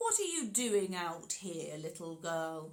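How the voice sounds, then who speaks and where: A woman uses a put-on character voice pitched fairly low. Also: fairly slow pace. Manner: fake-friendly.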